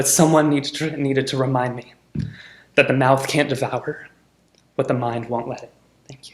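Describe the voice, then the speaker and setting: Somewhat breathy, a man speaks at a medium pitch in a monotone, flat delivery. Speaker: poet. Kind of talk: poetry reading.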